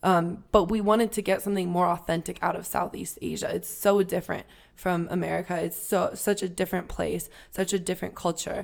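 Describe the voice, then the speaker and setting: The recording is very clean with a silent background, and the woman in it talks fairly quickly. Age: 20s. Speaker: travel podcast co-host. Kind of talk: casual chat.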